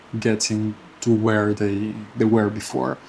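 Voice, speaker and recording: A man speaks at a fairly slow pace with a non-native accent. There is noticeable background noise. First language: not English. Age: 20s. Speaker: personal finance vlogger. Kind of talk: casual monthly finance update vlog. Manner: halting, with many fillers and repetitions.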